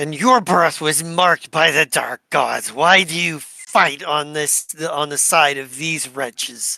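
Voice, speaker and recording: A put-on character voice growls at a middle pitch. It moves at a fairly slow pace with hardly any pauses. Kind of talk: menacing, archaic. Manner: snarling, hostile.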